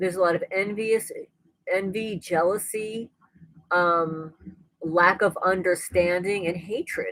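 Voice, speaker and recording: A woman's medium-pitched voice at a fairly slow pace, with fairly even intonation and long, frequent pauses. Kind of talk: casual livestream talk to camera. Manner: conversational, rambling.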